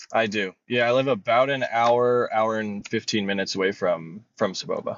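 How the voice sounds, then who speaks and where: A man with an ordinary speaking voice and an American accent, medium in pitch, at a moderate pace with fairly even intonation. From Florida, near Tampa. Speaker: paraglider and speed flyer. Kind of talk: podcast interview. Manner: casual, many fillers.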